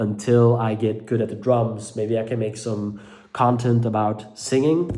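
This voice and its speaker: A man's fairly even intonation comes through with audible room echo. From Belgium (Dutch-speaking). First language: Dutch. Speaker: mental health vlogger. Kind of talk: personal vlog monologue. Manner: halting, many fillers.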